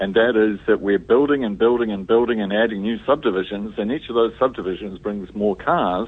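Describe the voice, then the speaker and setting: With a New Zealand accent, a man talks at a fairly quick pace with hardly any pauses, his fairly low voice showing ordinary pitch variation. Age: old. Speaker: newspaper columnist. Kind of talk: casual radio chat. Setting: phone call. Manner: halting.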